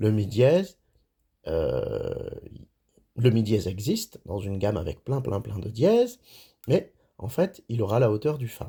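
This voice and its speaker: Speaking at a fairly slow pace, a man with a medium-pitched, somewhat breathy voice and a dark, mellow tone uses lively intonation on a very clean recording with a silent background. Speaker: music teacher. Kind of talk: tutorial. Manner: halting.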